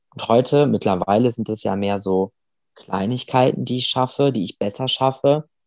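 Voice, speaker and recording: A man speaks at a moderate pace in an unremarkable speaking voice, with ordinary pitch variation and a dry, close sound with no echo. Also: medium pitch for a man. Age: 20s. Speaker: amputee sharing his weight-loss story. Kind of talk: interview.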